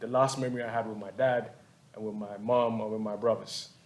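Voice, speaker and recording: This man's voice sits at a medium pitch. He talks with monotone, flat intonation. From Ghana. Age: 30s. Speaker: visual artist. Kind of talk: panel artist talk. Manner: halting, repetitive.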